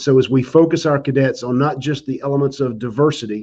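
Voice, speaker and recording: This man's pitch sits in the medium range, and his intonation stays fairly even. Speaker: army general. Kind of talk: panel discussion. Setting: virtual online event. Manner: hesitant, many fillers. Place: office. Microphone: video call.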